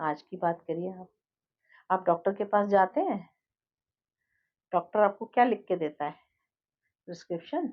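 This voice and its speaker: A woman with a calm tone and medium pitch uses ordinary pitch variation, her loudness swinging widely, with long, frequent pauses. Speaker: life coach and healer. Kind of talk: monologue to viewers. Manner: calm, never raises voice.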